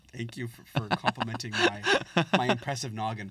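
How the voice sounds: A man with a medium pitch talks at a fairly quick pace, his intonation fairly even. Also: fairly bright tone.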